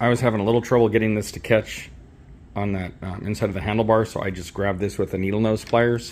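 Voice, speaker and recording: The speech comes at a very fast pace in a monotone, flat intonation. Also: man. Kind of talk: tutorial. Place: garage. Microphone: phone near.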